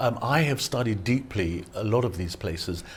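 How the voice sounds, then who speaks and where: This man has a British accent, a fairly low pitch, lively intonation and a somewhat breathy voice. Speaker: photographer and travel guide author. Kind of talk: TV interview. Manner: halting, with repetitions.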